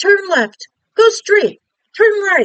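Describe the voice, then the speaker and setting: A woman's squeaky, put-on character voice, extremely high in pitch. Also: lively intonation. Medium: read story.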